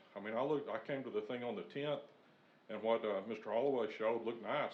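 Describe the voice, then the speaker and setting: A medium-pitched man's voice with ordinary pitch variation. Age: 60s. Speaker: resident giving public comment. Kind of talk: public comment at city meeting. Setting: city planning commission meeting.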